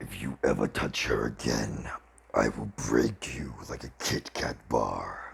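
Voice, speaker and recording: A man's put-on character voice, very deep and low, raspy, at a fairly slow pace. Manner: venomous, menacing.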